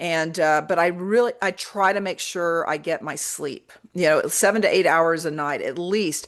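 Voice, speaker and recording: A woman speaks at a moderate pace with a fairly low pitch and ordinary pitch variation, an unremarkable speaking voice over a quiet background. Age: 60s. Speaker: radio host. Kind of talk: radio interview.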